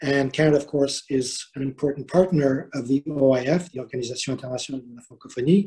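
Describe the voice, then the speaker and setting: A man talks in a Quebec accent at a fairly quick pace and fairly high pitch. His voice is dark, mellow and somewhat breathy. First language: French. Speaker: diplomat. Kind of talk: formal welcome speech. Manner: hesitant, many fillers.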